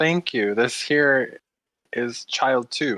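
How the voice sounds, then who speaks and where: A female-sounding put-on character voice at low-to-middle pitch, on a very clean recording with a silent background. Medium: actual play. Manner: verbose, courteous.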